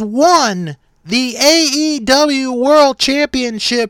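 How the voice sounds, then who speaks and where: The voice is raised and projected, with ordinary pitch variation. The sound is dry and close, with no echo. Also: man. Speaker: podcast host and wrestling commentator. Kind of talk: live wrestling commentary, play-by-play call of a match. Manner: excited, building tension as the match unfolds.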